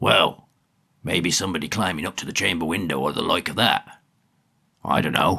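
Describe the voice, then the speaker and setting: Using a put-on character voice, a man speaks raspy and very deep at a moderate pace with ordinary pitch variation. Long, frequent pauses break up his speech. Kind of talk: rustic country dialect. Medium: read story. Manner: blunt, gossipy.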